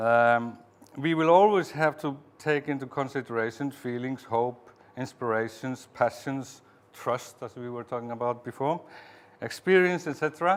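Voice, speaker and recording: Here a man talks at a moderate pace in a medium pitch. His pitch varies in an ordinary way, while his loudness swings a lot. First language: Icelandic. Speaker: museum director and researcher. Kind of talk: conference talk. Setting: conference with audience. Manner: halting; reading aloud from script.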